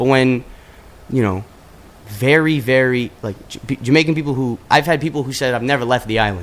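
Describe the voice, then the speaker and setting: With an ordinary speaking voice, a man moves at a fairly quick pace. His medium pitch shows ordinary pitch variation. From Canada, Toronto. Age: 20s. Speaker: musician. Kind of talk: interview. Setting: studio.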